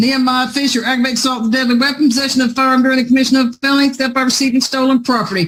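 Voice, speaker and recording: Speech in a Southern US accent comes at a very fast pace with hardly any pauses. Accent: Southern-sounding voice, by own account. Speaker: judge. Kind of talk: court hearing.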